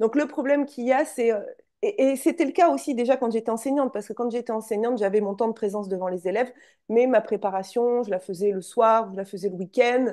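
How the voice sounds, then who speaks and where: Delivery is very fast with ordinary pitch variation. The tone is dark and mellow. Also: woman, quiet background. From France, Charente. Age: 40s. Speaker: entrepreneur, former school teacher. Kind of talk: interview.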